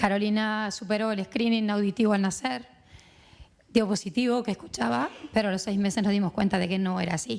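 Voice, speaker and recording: A woman's medium-pitched voice in a Uruguayan accent, with ordinary pitch variation and a moderate pace. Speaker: mother of a deaf child, panelist. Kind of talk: round-table testimony. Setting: conference panel with audience.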